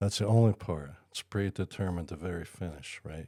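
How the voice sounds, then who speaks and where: A man talks in a very deep, low pitch with a dark, mellow tone. The recording is very clean with a silent background, and the sound is dry and close with no echo. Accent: American. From northern New Jersey. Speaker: wrestling fan, podcast co-host. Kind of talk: casual chat.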